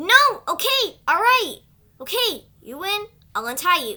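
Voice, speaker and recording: A put-on character voice sits at an extremely high pitch with very wide pitch swings. The pace is moderate. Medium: dub. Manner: dramatic, intense.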